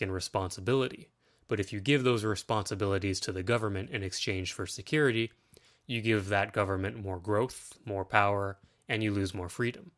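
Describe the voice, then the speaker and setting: In a Canadian accent, a man with an ordinary speaking voice talks at a moderate pace, his pitch fairly low with ordinary variation. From Ontario, Canada. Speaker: political podcaster. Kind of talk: solo monologue.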